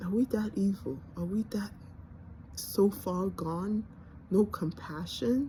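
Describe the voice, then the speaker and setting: A woman's somewhat breathy, dark, mellow voice with a Nigerian accent, medium in pitch with ordinary pitch variation, at a very slow pace with long, frequent pauses. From born in Nigeria, grew up in the US. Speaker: vlogger. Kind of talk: personal monologue. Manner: halting.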